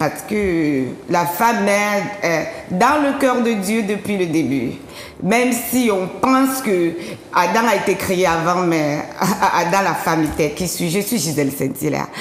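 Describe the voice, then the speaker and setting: A woman with an African accent talks very slowly at medium pitch, with lively intonation and very even loudness. Audible room echo and noticeable background noise surround her voice. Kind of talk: testimony. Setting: TV studio.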